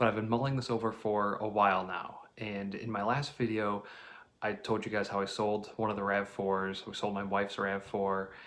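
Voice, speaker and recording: Quietly, a man speaks at a fairly low pitch and a moderate pace. His intonation is monotone and flat. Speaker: car vlogger. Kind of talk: casual vlog talk. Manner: quiet, hushed.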